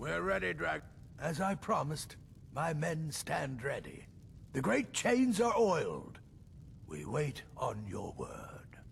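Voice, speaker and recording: A man's put-on character voice, fairly high in pitch, at a fairly slow pace over clear background noise. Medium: video game. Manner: commanding, steady.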